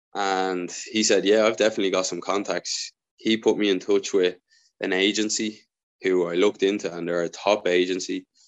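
In an Irish accent, the speaker goes at a moderate pace with monotone, flat intonation. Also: man, fairly low pitch for a man. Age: 20s. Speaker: professional footballer. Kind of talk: interview.

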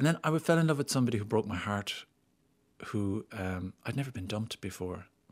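A man with an Irish accent, fairly low-pitched, at a fairly quick pace, on a very clean recording with a silent background. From Ireland, small town. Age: 50s. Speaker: actor and screenwriter. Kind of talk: interview.

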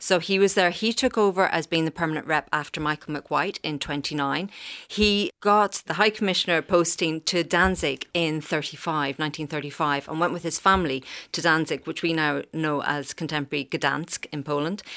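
A woman speaks with an Irish accent at a moderate pace, her pitch very deep and low with ordinary variation. Her tone is bright and sharp, and the sound is dry and close with no echo. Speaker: archivist. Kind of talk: radio interview.

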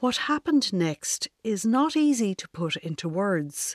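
Talking very slowly with a Dublin accent, a woman lets her pitch swing very widely. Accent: Dublin Irish. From Ireland, Dublin. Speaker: gardener and essayist. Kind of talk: reading aloud a personal essay.

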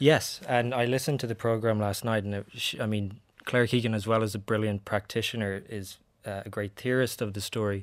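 A man with a Dublin accent, fairly low pitch, and fairly even intonation on a very clean recording with a silent background. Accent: Dublin Irish. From Ireland. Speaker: short story writer. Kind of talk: interview. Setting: studio.

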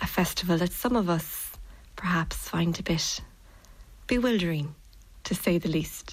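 A woman with a Kerry accent speaks at a moderate pace in a fairly low voice with vocal fry, ordinary pitch variation and very even loudness. Her long pauses come often. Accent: Irish, Kerry. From Ireland, Tralee, County Kerry. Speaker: poet. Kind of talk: poetry reading.

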